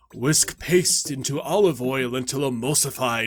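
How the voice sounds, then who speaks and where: A put-on character voice from a man, medium in pitch and fairly slow in pace. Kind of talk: character narration of game encyclopedia entries.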